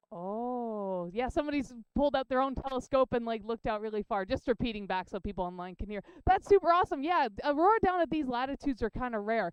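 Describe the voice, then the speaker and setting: Loud and very fast with hardly any pauses, a woman with a Canadian accent talks in a high pitch that swings very widely. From Canada. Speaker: heliophysics professor. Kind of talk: public science lecture. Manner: casual, filler-heavy.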